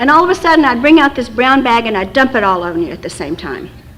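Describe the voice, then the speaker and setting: There is noticeable background noise as a woman talks with lively intonation. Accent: American. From West Texas. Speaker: recovery fellowship speaker. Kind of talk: recovery talk. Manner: fast.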